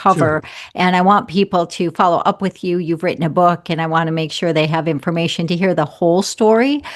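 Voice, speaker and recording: Here is a normal speaking voice at a fairly quick pace. The pitch varies in an ordinary way. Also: woman, fairly low pitch for a woman. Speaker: podcast host. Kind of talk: interview question.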